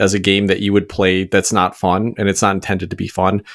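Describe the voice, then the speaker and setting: A man talks at a very fast pace with a fairly low pitch. The recording is very clean, with a silent background. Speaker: board game podcast host. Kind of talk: casual chat, game review.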